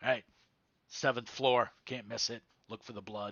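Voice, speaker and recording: Putting on a raspy character voice, a man speaks at medium pitch and moderate pace with monotone, flat intonation. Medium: actual play. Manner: curt, clipped.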